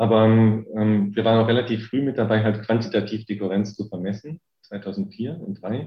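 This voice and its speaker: Moderately paced speech from a man, fairly low in pitch, the intonation fairly even. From Rhineland, Germany. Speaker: physics professor. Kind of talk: interview. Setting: video call. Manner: hesitant, many filler sounds.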